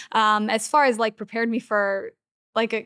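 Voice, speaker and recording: A woman with an American accent has a bright, sharp tone, captured in a dry, close sound with no echo on a very clean recording with a silent background. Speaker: aquarium owner and performer. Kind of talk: podcast interview. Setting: inside a former train station museum. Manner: animated.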